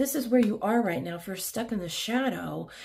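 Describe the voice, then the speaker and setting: A woman speaks with ordinary pitch variation, her voice somewhat breathy. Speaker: tarot reader. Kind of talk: tarot reading. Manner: animated.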